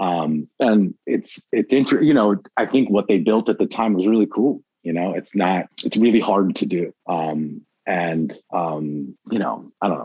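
Speaking at a fairly slow pace with hardly any pauses, a man has an unremarkable speaking voice, a fairly low pitch and lively intonation. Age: 40s. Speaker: former record label employee. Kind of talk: casual interview.

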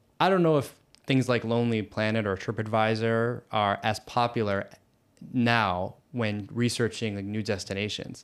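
A man with an American accent talks in an unremarkable speaking voice at a medium pitch and moderate pace, with ordinary pitch variation, on a very clean recording with a silent background. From US. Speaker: podcast host. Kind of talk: casual interview chat.

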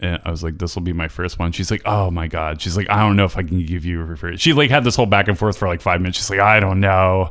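A man speaks in a very deep, low pitch at a very fast pace. The recording is very clean, with a silent background. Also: ordinary pitch variation, hardly any pauses. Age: 30s. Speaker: podcast co-host. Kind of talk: casual chat. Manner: animated.

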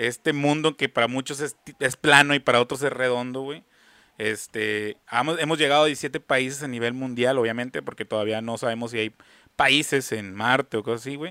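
Bright and sharp in tone, a man's medium-pitched voice moves at a moderate pace with fairly even intonation, the sound dry and close with no echo. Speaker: podcast co-host. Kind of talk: casual chat. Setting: video call from an internet cafe.

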